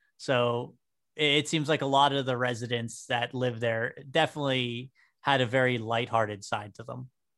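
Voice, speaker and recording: With an American accent, a man uses an ordinary speaking voice at a moderate pace with fairly even intonation over a quiet background. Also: medium pitch for a man. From western Pennsylvania (New Castle). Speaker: podcast host, amateur historian. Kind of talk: casual podcast chat about history.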